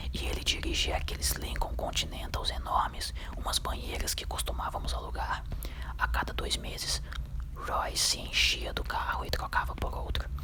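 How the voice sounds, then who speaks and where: A man whispers at a moderate speed while noticeable background noise carries on. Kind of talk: ASMR book reading. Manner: whispered.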